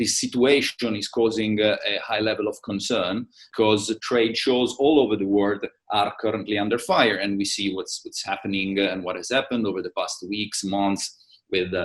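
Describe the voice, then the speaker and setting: This man has a strong Italian accent, a medium pitch and a moderate pace. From Italy. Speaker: trade show managing director. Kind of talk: interview. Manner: halting, many fillers.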